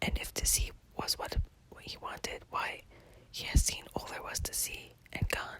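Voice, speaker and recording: Someone whispers at a moderate pace, with long, frequent pauses and noticeable background noise. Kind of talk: ASMR whisper poetry reading; narrated poem with dramatic dialogue. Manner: whispered.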